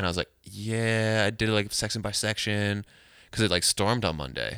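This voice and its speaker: A man speaks at a moderate pace and a fairly low pitch with vocal fry and a bright, sharp tone. The recording is very clean, with a silent background. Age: 20s. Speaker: musician and house painter. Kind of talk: casual chat.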